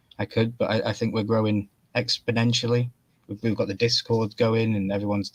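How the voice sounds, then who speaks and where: In a British accent, a man with a fairly low pitch speaks at a fairly quick pace in a monotone, flat intonation. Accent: UK. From Wales. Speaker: YouTube collector guest. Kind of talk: casual chat.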